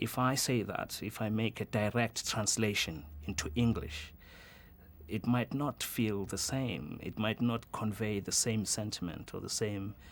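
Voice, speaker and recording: Speaking at a fairly slow pace with a Zulu accent, a man uses a fairly low pitch and ordinary pitch variation on a very clean recording with a silent background. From South Africa, Soweto (Johannesburg). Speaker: journalist. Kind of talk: interview. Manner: hesitant, with many fillers.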